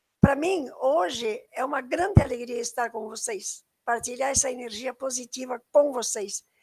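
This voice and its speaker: A woman with a high pitch speaks at a moderate pace, recorded dry and close with no echo. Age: 80s+. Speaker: environmental educator. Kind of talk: online lecture. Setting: live stream.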